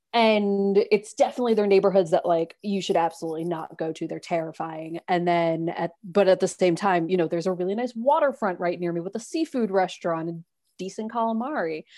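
With an American accent, a woman talks at a fairly quick pace with hardly any pauses. Her tone is dark and mellow, at a medium pitch with ordinary variation. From New York City, Manhattan. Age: 30s. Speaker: podcast guest, former full-time RV traveler. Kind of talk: casual interview chat.

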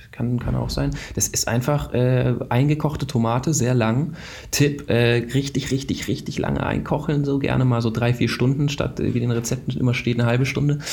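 A man speaks at a medium pitch with ordinary pitch variation. His loudness stays very even, and his pace is moderate. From Baden-Württemberg, Germany, partly Israel. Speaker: film company founder. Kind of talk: interview.

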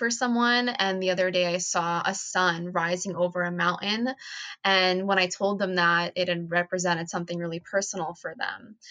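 A woman speaks with an American accent at medium pitch. She has an ordinary speaking voice and keeps a moderate pace. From New Jersey, US. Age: 20s. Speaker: nonprofit co-founder. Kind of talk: casual chat.

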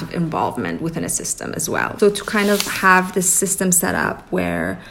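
The speech moves at a moderate pace while noticeable background noise runs underneath. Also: woman. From Iran (Tehran), moved to Toronto at 13. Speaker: artist and hat designer. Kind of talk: interview conversation. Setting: at guest's home. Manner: hesitant, many fillers.

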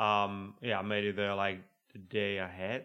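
The speaker is a man with a fairly low pitch and little pitch movement. His tone is fairly bright, and his pace is moderate.

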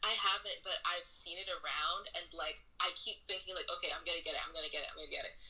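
There is noticeable background noise. A woman talks at a very fast pace. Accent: American. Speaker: novelist. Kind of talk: interview. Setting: remote call.

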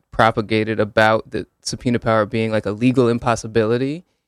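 With an American accent, a man talks at a medium pitch and moderate pace in a dry, close sound with no echo. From Connecticut (Hamden, Woodbridge). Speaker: law student and police accountability advocate. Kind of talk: radio interview. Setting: radio studio.

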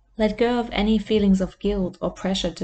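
A woman's voice sounds somewhat breathy, with a dark, mellow tone. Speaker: life coach. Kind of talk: guided meditation. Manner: slow, soothing, soft-spoken.

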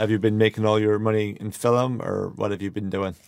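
A man with an Irish accent and fairly low pitch, fairly even intonation at a moderate pace, on a very clean recording with a silent background. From Ireland. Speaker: podcast host. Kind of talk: casual interview chat. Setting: small studio.

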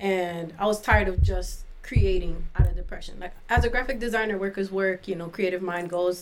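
A woman with an American accent speaks in a plain, everyday voice at medium pitch. Her pace is fairly quick, and her intonation fairly even. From Miami, Florida. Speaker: artist and author. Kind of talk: casual interview, poetry reading.

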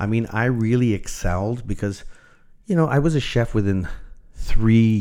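A man in a Canadian accent, medium in pitch, with ordinary pitch variation, a moderate pace and an unremarkable speaking voice. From Toronto, Canada. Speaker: chef. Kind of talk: interview.

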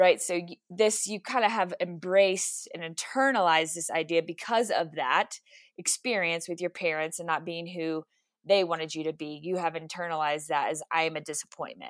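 In an American accent, a woman speaks at a moderate pace with a plain, everyday voice, fairly low pitch, ordinary pitch variation and big swings in loudness. The recording is very clean with a silent background and a dry, close sound with no echo. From Texas. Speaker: mental health therapist. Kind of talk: faith-based interview conversation.

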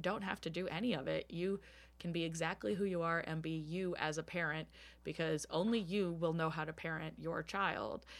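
A woman with an American accent and a fairly low pitch talks at a fairly quick pace with vocal fry. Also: very clean recording, silent background. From US, Bowie, Maryland (DC suburbs). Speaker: drummer and activist. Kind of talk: interview conversation. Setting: home basement studio.

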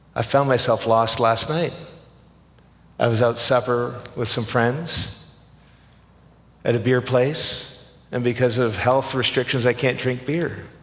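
With a Canadian accent and a medium pitch, a man speaks at a very slow pace, leaving long, frequent pauses amid audible room echo. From Canada. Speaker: pastor. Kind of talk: sermon.

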